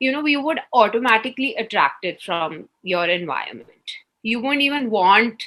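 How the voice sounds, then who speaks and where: Her tone bright and sharp, a woman talks at a moderate pace with a fairly high pitch and very wide pitch swings. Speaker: entrepreneur and company executive. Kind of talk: interview. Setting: video call. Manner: warm.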